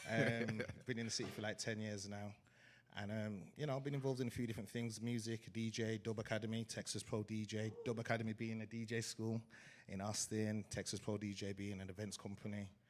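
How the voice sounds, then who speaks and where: With an English accent, a man talks at a fairly quick pace in a fairly low pitch, his intonation monotone and flat. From England, Wolverhampton (West Midlands). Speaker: DJ and event promoter. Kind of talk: live panel conversation. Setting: stage with live audience.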